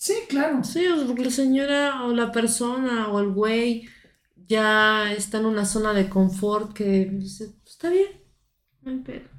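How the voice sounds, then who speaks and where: Fairly high-pitched woman at a fairly slow pace, with ordinary pitch variation and audible room echo. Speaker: podcast host. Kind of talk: casual chat.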